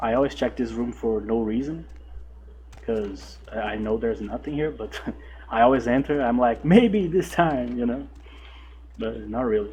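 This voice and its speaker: A man with a Brazilian Portuguese accent at a moderate pace, with long, frequent pauses. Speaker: gaming YouTuber. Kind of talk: gameplay commentary. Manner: halting, stumbles over words; casual, relaxed.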